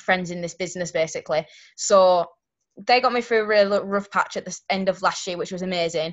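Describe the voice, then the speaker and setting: With a Yorkshire accent, a woman speaks fairly quickly, her loudness swinging widely while her intonation stays fairly even. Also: medium pitch for a woman. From Yorkshire, England. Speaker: network marketing distributor. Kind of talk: testimony.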